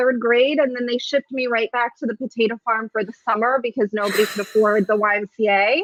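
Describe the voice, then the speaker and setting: A woman with a Russian accent talks at a fairly quick pace in a high pitch, with a dry, close sound and no echo. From San Francisco Bay Area, born in Soviet Ukraine. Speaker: comedian. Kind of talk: casual interview chat.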